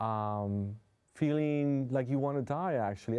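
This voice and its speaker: A man speaks in a dark, mellow tone with a Spanish accent. His pace is fairly slow and his pitch varies in an ordinary way. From New York City. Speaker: hypnotherapist. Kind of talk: interview. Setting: studio.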